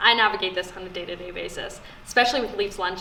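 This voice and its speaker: A woman speaks at a medium pitch with a Canadian accent and fairly even intonation. Noticeable background noise and audible room echo fill the recording. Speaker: sports broadcaster. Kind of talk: casual talk to students. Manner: casual with fillers.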